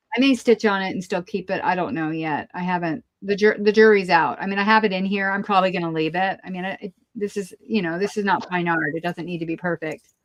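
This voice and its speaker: Speaking at a fairly quick pace, a woman has a medium pitch, ordinary pitch variation, and a plain, everyday voice. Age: 60s. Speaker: crafter, art journaler. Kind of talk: casual chat. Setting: live video stream.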